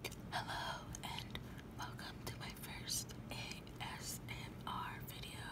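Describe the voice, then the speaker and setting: The speaker whispers. The pace is very slow. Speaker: ASMR creator. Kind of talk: ASMR show-and-tell. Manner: whispered, soft. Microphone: phone near.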